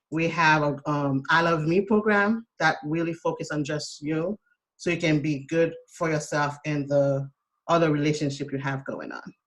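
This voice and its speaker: Speaking with a Haitian accent, a woman with a very deep, low pitch talks at a fairly slow pace with fairly even intonation. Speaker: self-care coach. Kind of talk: casual chat.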